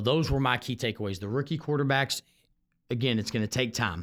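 On a very clean recording with a silent background, a man of medium pitch speaks with a Texan accent and ordinary pitch variation. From Houston, Texas. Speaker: high school football coach. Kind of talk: solo sports podcast monologue. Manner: halting, frequent repeated words.

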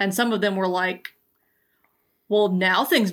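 With an American accent, a woman talks in an unremarkable speaking voice at a medium pitch, her intonation fairly even. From US South, Georgia. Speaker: LGBTQ healthcare educator. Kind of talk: oral history interview.

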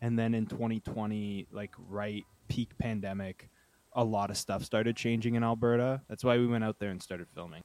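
With monotone, flat intonation and medium pitch, a man speaks at a moderate pace in a dry, close sound with no echo. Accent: Canadian. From Ontario, Canada (Uxbridge, near Toronto). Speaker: journalist and documentary filmmaker. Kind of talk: casual chat.

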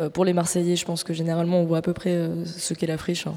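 Noticeable background noise accompanies this recording of a woman. She talks at a very fast pace in a fairly low pitch. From Marseille, France. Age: 20s. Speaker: radio host and producer. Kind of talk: live public radio show. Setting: live on stage with audience at arts centre.

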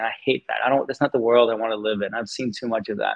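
A man speaks at a very fast pace in a medium pitch. His intonation stays fairly even. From Denmark. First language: Danish. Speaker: tech executive. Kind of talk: casual interview.

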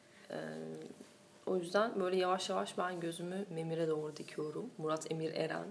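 A woman with a fairly low pitch speaks at a moderate pace with ordinary pitch variation, and the room echo is audible. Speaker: film podcast host. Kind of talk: casual chat.

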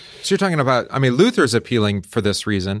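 Speaking at a very fast pace, a man with a medium pitch makes very wide pitch swings in a very clean recording with a silent background. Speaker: co-host, pastor. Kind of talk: casual chat. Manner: soft-spoken, mild-mannered.

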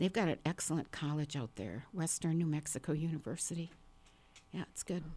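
A woman with an American accent, very deep and low in pitch, dark and mellow in tone, at a fairly quick pace with ordinary pitch variation. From northern Wisconsin, small town. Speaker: writer and stand-up comedian. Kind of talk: casual interview chat.

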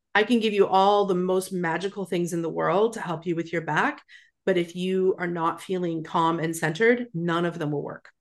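A woman with a Western Canadian accent speaks at a fairly low pitch with fairly even intonation against a quiet background. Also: moderate pace. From Alberta, Canada. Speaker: yoga therapist. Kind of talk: interview.

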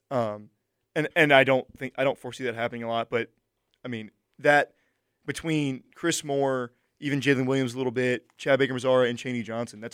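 A man with a plain, everyday voice talks at a medium pitch and a fairly quick pace, with fairly even intonation, big swings in loudness, and a dry, close sound with no echo. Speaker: sports talk co-host. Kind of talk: casual sports banter. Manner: quick, sarcastic, joking.

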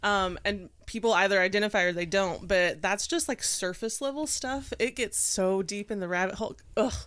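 A woman at medium pitch and moderate pace, with ordinary pitch variation and hardly any pauses, in a very clean recording with a silent background. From East Tennessee (Knoxville). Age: 30s. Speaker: astrologer and makeup artist. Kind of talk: casual chat.

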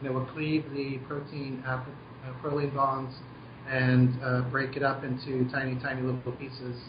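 With an American accent, a man speaks at a moderate pace and medium pitch in a monotone, flat intonation, with audible room echo and noticeable background noise. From US Southwest (Albuquerque, New Mexico). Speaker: brewmaster. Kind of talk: interview over a phone call.

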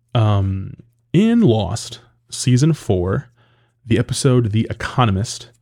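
A man's voice comes through on a very clean recording over a silent background. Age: 30s. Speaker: film critic podcast host. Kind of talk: casual solo podcast monologue. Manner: hesitant, many fillers and repetitions.

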